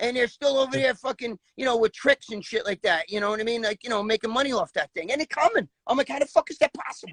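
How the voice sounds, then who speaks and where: A man with a New York accent talks very fast at an extremely high pitch. His intonation is lively, and the sound is dry and close with no echo. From New York, the Bronx. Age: 60s. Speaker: former bodybuilder. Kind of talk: casual interview. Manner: animated, profane; halting, repetitive.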